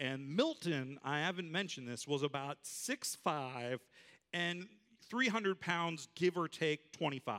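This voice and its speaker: A man with a fairly high pitch speaks very slowly in a bright, sharp tone with lively intonation. The sound is dry and close, with no echo. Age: young. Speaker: pastor. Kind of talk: sermon. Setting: church.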